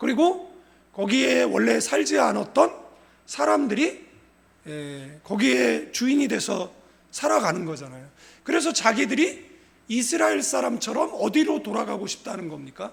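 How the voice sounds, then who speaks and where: At a fairly slow pace, a man speaks with big swings in loudness. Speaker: pastor. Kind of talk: sermon.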